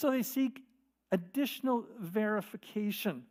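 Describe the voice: In plain reading aloud over a quiet background, the pitch varies in an ordinary way.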